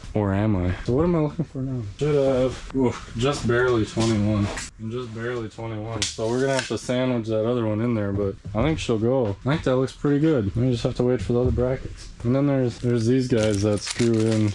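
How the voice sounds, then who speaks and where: A man mumbles at a fairly quick pace with hardly any pauses. His voice sits at a medium pitch with ordinary pitch variation, over noticeable background noise. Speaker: DIY video maker. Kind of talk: casual tutorial. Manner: mumbling; rambling, casual. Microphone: small speaker mic, far from camera.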